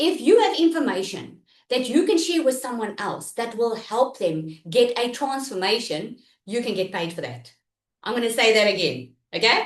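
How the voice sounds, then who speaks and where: Speaking loudly at a moderate pace, a woman with a fairly high pitch makes very wide pitch swings. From South Africa. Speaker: online business coach. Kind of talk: live online workshop. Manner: animated.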